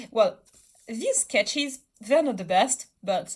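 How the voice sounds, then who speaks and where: A somewhat breathy woman's voice with a French accent at a moderate pace. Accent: French accent, self-described as a mess. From France, Bordeaux. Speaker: artist. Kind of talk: casual chat. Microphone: poor sound quality.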